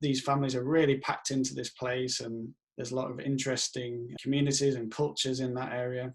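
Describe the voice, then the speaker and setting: In a strong Yorkshire accent, a man speaks with monotone, flat intonation. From northern England, Leeds, Yorkshire. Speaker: professor. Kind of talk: self-introduction video with slides. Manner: casual with filler sounds.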